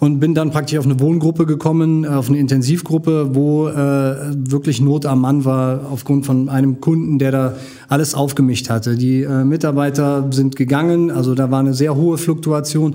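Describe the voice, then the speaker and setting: Over noticeable background noise and audible room echo, a man speaks in a monotone, flat intonation at a moderate pace. His pitch is fairly high and his loudness very even. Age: 40s. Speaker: social worker and martial arts teacher. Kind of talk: casual interview.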